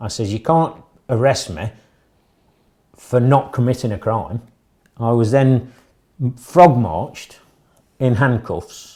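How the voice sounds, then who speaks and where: A man with a northern English accent at medium pitch, very slow with long, frequent pauses and ordinary pitch variation, in a very clean recording with a silent background. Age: 60s. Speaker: arrested member of the public. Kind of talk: interview testimony.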